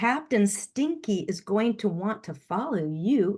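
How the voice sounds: Intonation is lively, and the delivery is a natural reading voice.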